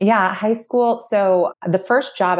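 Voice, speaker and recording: In a Californian accent, a woman talks at a moderate pace. Her pitch varies in an ordinary way, and the background is quiet. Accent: Californian American English. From Southern California, Orange County. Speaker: skincare company CEO and co-founder. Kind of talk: interview.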